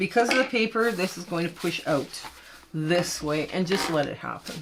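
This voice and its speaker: Noticeable background noise accompanies a woman with a fairly low pitch. She talks at a moderate pace with ordinary pitch variation. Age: 60s. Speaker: quilting tutorial host. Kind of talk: casual chat; tutorial. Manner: casual, chatty.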